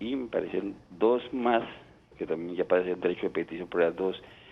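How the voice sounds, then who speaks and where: Moderate-paced male speech, very deep and low, with ordinary pitch variation. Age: 60s. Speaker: caller. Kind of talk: phone-in question. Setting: phone call.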